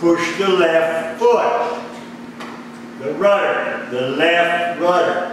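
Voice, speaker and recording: Speaking at a very slow pace, a man with a high pitch and lively intonation is heard in strong room echo over light background noise. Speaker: flight instructor. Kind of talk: lecture on aviation charts and emergency rules. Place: classroom. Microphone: camera far.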